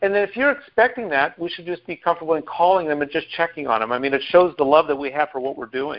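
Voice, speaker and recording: Speaking at a very fast pace with hardly any pauses, a man with an American accent has a fairly high pitch and big swings in loudness. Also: lively intonation. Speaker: team call host. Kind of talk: team call presentation. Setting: phone call.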